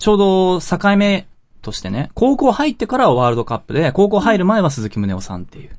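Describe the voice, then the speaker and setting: A man's high voice at a fairly quick pace, with very wide pitch swings and big swings in loudness, over a quiet background. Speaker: podcast host. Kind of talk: scripted narration; casual chat.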